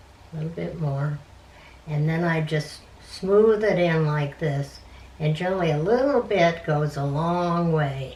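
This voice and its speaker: Over noticeable background noise and audible room echo, a woman speaks at a fairly slow pace in a very deep, low voice with ordinary pitch variation. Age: 80s+. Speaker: grandmother. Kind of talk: casual chat.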